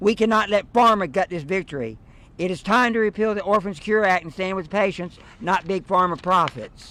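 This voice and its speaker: Raised and projected, a man's high-pitched voice carries a bright, sharp tone at a moderate pace with ordinary pitch variation. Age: 70s. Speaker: patient advocate. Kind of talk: prepared statement at press conference. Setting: press conference.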